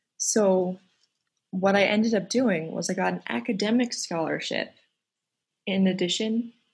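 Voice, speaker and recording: A woman with a medium-pitched, somewhat breathy voice speaks at a moderate pace with ordinary pitch variation in a very clean recording with a silent background. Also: long, frequent pauses. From Colorado. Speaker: singer and podcast host. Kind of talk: casual interview chat.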